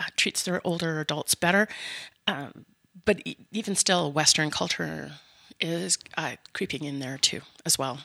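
A woman speaks at a fairly slow pace in a very deep, low voice with vocal fry and a bright, sharp tone. She leaves long, frequent pauses. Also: ordinary pitch variation, dry, close sound with no echo. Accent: Canadian. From Canada, mostly Winnipeg. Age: 50s. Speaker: seniors advocate, business owner. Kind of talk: interview.

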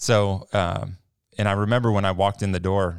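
A man with an American accent speaks in an ordinary speaking voice, fairly low in pitch, at a moderate pace. The recording is very clean with a silent background, and the sound is dry and close with no echo. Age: 30s. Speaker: church maintenance worker, former missionary. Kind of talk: interview testimony. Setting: studio.

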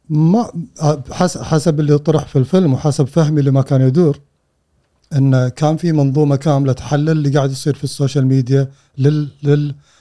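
At a moderate pace, a man with a fairly high pitch speaks in a dark, mellow tone with fairly even intonation. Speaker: data analyst and tech founder. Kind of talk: interview conversation.

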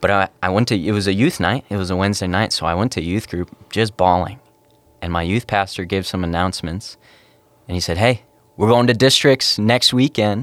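A man's normal speaking voice with an American accent, fairly low in pitch, with ordinary pitch variation, a fairly quick pace, and a dry, close sound with no echo. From northern Minnesota, US. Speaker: youth pastor. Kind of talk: testimony.

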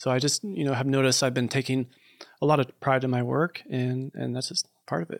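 Recorded with a dry, close sound and no echo, a man speaks at a fairly quick pace in an ordinary speaking voice, with a medium pitch and ordinary pitch variation. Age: 40s. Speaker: producer and filmmaker. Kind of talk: casual chat. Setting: studio.

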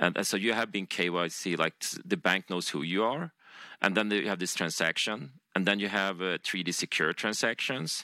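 Using a normal speaking voice, a man talks at a moderate pace in a fairly low pitch, in a very clean recording with a silent background. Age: 40s. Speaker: games company founder. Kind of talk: interview.

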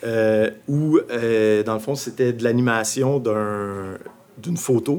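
A man speaks with ordinary pitch variation. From Abitibi-Témiscamingue, Quebec. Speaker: visual artist. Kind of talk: interview. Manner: halting, many fillers.

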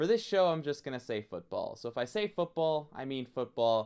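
In a very clean recording with a silent background, a man with an unremarkable speaking voice talks at a fairly quick pace with lively intonation. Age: 20s. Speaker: student radio host. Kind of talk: sports talk monologue.

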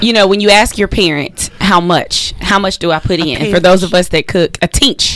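Over noticeable background noise, a woman with an American accent talks at a fairly quick pace with hardly any pauses. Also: medium pitch for a woman, ordinary pitch variation. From US South. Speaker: radio co-host. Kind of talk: radio talk show. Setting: radio studio.

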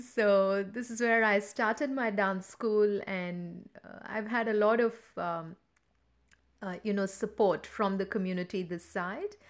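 With an Indian accent, a woman speaks fairly slowly at a medium pitch, her intonation fairly even and her loudness swinging widely. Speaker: dance teacher. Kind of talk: interview.

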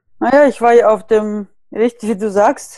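A woman with a Russian accent and a dark, mellow tone at a fairly high pitch, fairly even intonation and a fairly slow pace, in a dry, close sound with no echo against a quiet background. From Siberia, Russia. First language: Russian (speaking German). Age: 30s. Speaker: natural skincare blogger. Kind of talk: casual interview.

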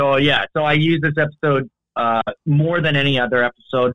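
With a Canadian accent, a man talks at a fairly quick pace in a fairly high pitch, a plain, everyday voice. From Canada. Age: 30s. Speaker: video editor, content creator. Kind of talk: casual chat.

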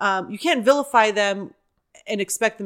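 At a moderate pace, a normal speaking voice comes through on a very clean recording where the background is silent. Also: woman. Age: 40s. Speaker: actor and improviser. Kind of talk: casual chat.

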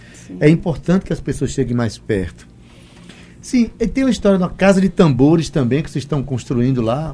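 The voice is somewhat breathy, moves at a fairly quick pace, and makes very wide pitch swings. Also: man, fairly high pitch for a man. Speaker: radio host. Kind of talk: radio interview. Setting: studio.

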